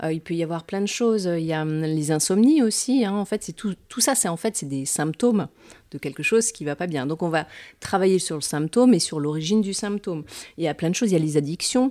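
Over a silent background on a very clean recording, a woman speaks at a fairly quick pace with a dark, mellow tone and lively intonation. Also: fairly low pitch for a woman. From France, Metz (Lorraine). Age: 40s. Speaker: hypnotherapist and entrepreneur. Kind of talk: interview.

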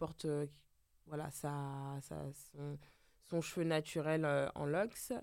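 This woman has a very deep, low pitch. Her intonation is monotone and flat. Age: 30s. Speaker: hairdresser. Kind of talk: casual chat. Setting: studio.

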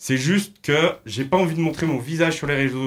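The very clean recording has a silent background, and the voice shows ordinary pitch variation. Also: man. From Loire, France. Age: 20s. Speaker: social media meme creator. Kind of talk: radio interview.

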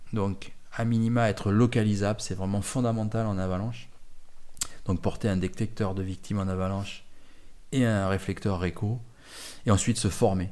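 A man's dark, mellow tone with fairly even intonation and long, frequent pauses. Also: fairly low pitch for a man, moderate pace. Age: 50s. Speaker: mountain guide and retired mountain rescue chief. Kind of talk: interview. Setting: at his home.

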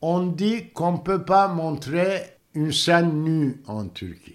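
A man speaks with a Turkish accent on a very clean recording with a silent background. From Turkey, Istanbul. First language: Turkish (speaking French). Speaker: theatre director. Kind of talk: interview. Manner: halting.

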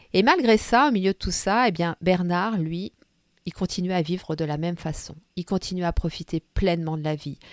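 A woman with a fairly low pitch uses an ordinary speaking voice at a moderate pace with ordinary pitch variation, on a very clean recording with a silent background and a dry, close sound with no echo. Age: 50s. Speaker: podcast host and storyteller. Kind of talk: personal storytelling. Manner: warm, gentle.

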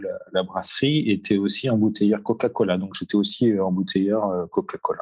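This man's voice is fairly low in pitch. It has ordinary pitch variation. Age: 40s. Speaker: marketing manager at a spirits distributor. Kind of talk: interview. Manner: halting, many fillers and repetitions.

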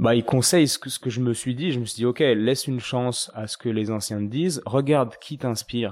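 A plain, everyday voice moves at a fairly quick pace with ordinary pitch variation and hardly any pauses. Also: man, medium pitch for a man. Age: 30s. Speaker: osteopath and podcaster. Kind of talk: casual interview.

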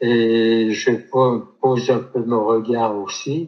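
The speaker goes at a very slow pace. The intonation stays monotone and flat. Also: man. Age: 70s. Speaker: photographer, retired insurance employee and author. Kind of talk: interview testimony. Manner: halting, many repetitions.

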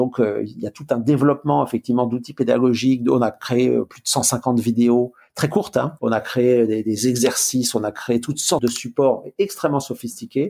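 A man speaks at a medium pitch and moderate pace in a dark, mellow tone, with ordinary pitch variation, big swings in loudness and hardly any pauses. The recording is very clean, with a silent background. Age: 60s. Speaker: management consultant and author. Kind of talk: interview.

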